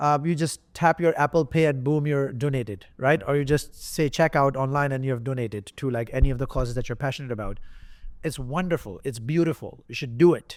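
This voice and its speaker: Talking at a fairly quick pace, a man with a non-native accent shows ordinary pitch variation. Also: fairly high pitch for a man, very clean recording, silent background. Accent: non-native accent he once felt insecure about. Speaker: entrepreneur. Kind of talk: interview answer.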